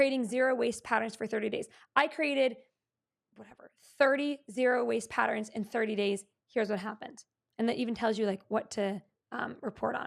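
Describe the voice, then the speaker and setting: A woman talks at a fairly quick pace with a fairly high pitch. Her tone is animated. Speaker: online business coach. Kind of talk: tutorial. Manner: fast.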